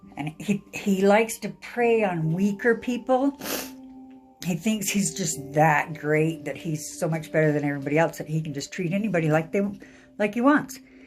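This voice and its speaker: Over music in the background, a woman with a fairly low pitch speaks with lively intonation. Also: moderate pace. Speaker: tarot card reader. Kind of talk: casual talk to camera. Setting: living room at home.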